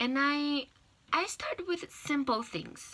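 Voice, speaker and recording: This woman speaks in a Portuguese accent with a bright, sharp tone at a fairly slow pace. The recording is very clean, with a silent background. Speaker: language learner giving a class speech. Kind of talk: persuasive speech. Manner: halting, with fillers and restarts.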